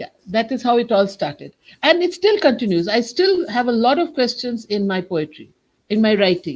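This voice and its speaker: A woman with a Bengali accent speaks at a moderate pace, her fairly high voice swinging very widely in pitch. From India, Kolkata. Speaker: writer and poet. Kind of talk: interview.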